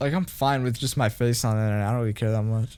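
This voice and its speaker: A man talking at a very fast pace. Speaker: podcast co-host. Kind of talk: casual chat. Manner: halting.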